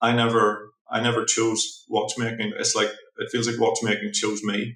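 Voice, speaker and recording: At a moderate pace, a man with a Northern Irish accent speaks in a monotone, flat intonation. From Northern Ireland, Belfast. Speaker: watchmaker. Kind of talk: interview conversation. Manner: halting, many repetitions.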